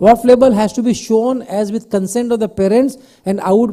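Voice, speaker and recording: This man's high voice is loud, with a dark, mellow tone. He talks at a fairly quick pace with ordinary pitch variation. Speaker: pediatrician vaccine expert. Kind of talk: conference Q&A panel. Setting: conference hall with mic, streamed online.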